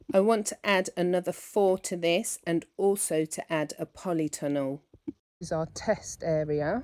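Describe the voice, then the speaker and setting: Speaking with a British accent, the woman has a fairly low pitch and ordinary pitch variation. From England. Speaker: lifestyle vlogger. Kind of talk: casual vlog narration.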